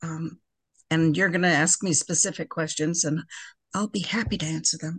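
A woman's fairly low-pitched voice with vocal fry. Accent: American. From US Midwest. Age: 70s. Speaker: person in recovery. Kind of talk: casual chat.

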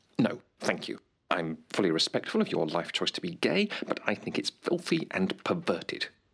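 A man puts on a character voice, pitched low with big pitch swings and vocal fry. His tone is fairly bright with a slightly husky edge, at a moderate pace.

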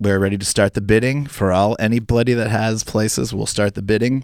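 In a very clean recording with a silent background, a man with an ordinary speaking voice talks at a fairly quick pace, fairly low in pitch with ordinary pitch variation. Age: 40s. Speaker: stand-up comedian. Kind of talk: casual chat.

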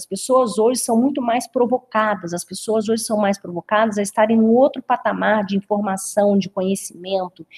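Somewhat breathy, the voice has ordinary pitch variation and a dry, close sound with no echo. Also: woman. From Brazil, interior of the state (Rio de Janeiro/Minas border area). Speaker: business consultant. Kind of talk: webinar presentation.

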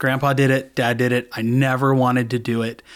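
A man speaks at a fairly quick pace with a Californian accent. His pitch sits in the medium range. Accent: Californian American. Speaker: sales coach. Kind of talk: interview.

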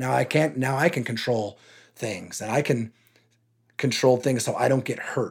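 On a very clean recording with a silent background, a man with an American accent talks at a moderate pace with medium pitch and vocal fry. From California, San Jose area. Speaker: youth sports league director. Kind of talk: interview. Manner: halting, many fillers.

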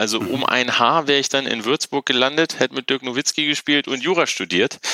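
A man's bright, sharp voice with vocal fry, dry and close with no echo. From northern Germany (Wolfenbüttel). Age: 40s. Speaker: business executive. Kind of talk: interview. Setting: video call.

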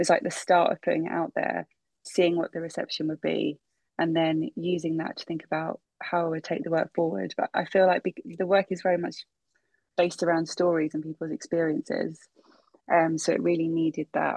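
A woman with a London accent talks at a fairly quick pace, the sound dry and close with no echo. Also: fairly low pitch for a woman, ordinary pitch variation. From London, Brent area (London Irish family). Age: 30s. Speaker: artist. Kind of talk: interview. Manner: halting, many fillers.

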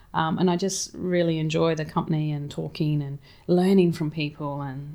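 A woman talks at a fairly quick pace. She has an Australian accent and a fairly low pitch. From Townsville, Queensland, Australia. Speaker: cafe owner, flood survivor. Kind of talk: interview, personal story.

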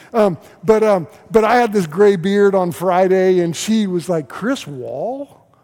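A man with an American accent speaks at a fairly slow pace in a high voice with ordinary pitch variation, over noticeable background noise. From US South, Oklahoma City. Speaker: pastor. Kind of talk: sermon. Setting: church. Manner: repetitive, halting starts.

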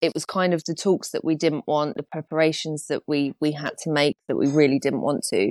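With an English accent, a woman speaks at a moderate pace and a very deep, low pitch in a dry, close recording with no echo, a very clean recording and a silent background. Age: 30s. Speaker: artist. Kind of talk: interview about pet loss.

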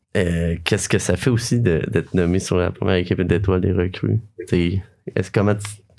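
Very deep and low, a man's voice carries fairly even intonation. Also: moderate pace. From Quebec, Sherbrooke region. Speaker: podcast host. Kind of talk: casual interview. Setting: studio.

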